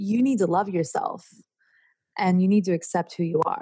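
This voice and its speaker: A woman with a dark, mellow tone and somewhat breathy delivery speaks at medium pitch with ordinary pitch variation. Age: 30s. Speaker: astrologer and tarot reader. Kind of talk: casual chat. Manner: animated.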